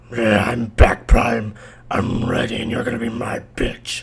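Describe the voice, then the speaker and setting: A man uses a put-on character voice at a medium pitch and moderate pace, with monotone, flat intonation and light background noise. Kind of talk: stop-motion comedy skit. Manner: boastful, threatening.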